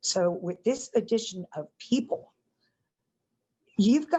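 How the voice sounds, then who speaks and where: A woman talks at a fairly slow pace. Her voice is somewhat breathy, with lively intonation. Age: 60s. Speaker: resident speaking at public meeting. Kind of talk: public comment at community meeting.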